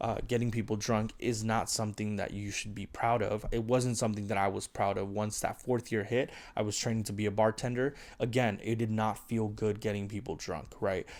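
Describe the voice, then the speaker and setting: Fairly quick, monotone speech from a man at fairly low pitch, with flat intonation, on a very clean recording with a silent background. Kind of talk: monologue to camera. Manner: fast.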